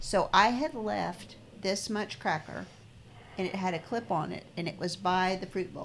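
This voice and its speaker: A woman's voice with vocal fry and ordinary pitch variation. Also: medium pitch for a woman, moderate pace. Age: 50s. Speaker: podcast co-host. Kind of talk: casual chat.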